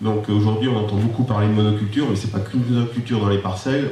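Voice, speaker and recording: A man at a very fast pace in monotone, flat intonation, with audible room echo and noticeable background noise. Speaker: arable crop farmer. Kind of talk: public debate talk. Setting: public debate in a high school.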